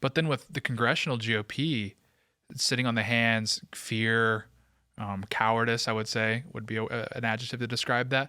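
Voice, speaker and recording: The man's tone is bright and sharp. His intonation stays fairly even. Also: medium pitch for a man, moderate pace, very clean recording, silent background. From West Tennessee (Memphis suburbs). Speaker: podcast host. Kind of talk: podcast interview.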